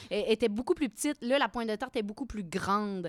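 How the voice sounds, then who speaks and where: A woman's fairly high-pitched voice with ordinary pitch variation and a dry, close sound with no echo. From Quebec, Victoriaville. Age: 30s. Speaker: actress and craft beer blogger. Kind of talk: casual chat.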